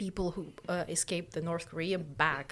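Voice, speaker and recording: A woman with a Russian accent, fairly low pitch, ordinary pitch variation and a moderate pace. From Uzbekistan. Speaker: podcast co-host. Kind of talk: casual chat. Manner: halting.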